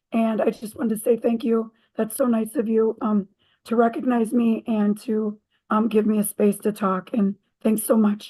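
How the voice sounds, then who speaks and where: The voice is somewhat breathy with a dark, mellow tone and monotone, flat intonation. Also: woman, fairly high pitch for a woman, moderate pace. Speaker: teacher. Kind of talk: award acceptance remarks. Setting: video call. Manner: halting.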